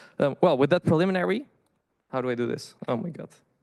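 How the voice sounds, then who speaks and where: A man with a Dutch accent talks at a very fast pace in a fairly high pitch, his intonation lively, the sound dry and close with no echo against a quiet background. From Netherlands. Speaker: PhD candidate. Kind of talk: conference presentation. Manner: halting, many fillers and restarts.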